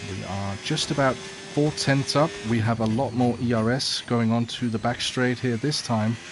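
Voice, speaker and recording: Against noticeable background noise, a man speaks at a medium pitch and a moderate pace with fairly even intonation and hardly any pauses. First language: not English. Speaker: sim racing streamer. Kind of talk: live gameplay commentary. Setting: livestream reading chat. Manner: casual, hesitant with fillers.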